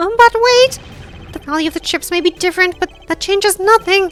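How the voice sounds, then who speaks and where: Using a put-on character voice at an extremely high pitch, a man talks at a fairly quick pace while faint music plays in the background. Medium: game stream. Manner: condescending, easily flustered.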